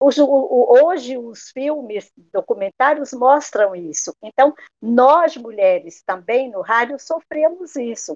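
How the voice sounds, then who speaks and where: Heard dry and close with no echo, a woman talks at a very slow pace in a high pitch, her intonation lively and her loudness swinging widely. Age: 60s. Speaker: radio broadcaster. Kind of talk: interview.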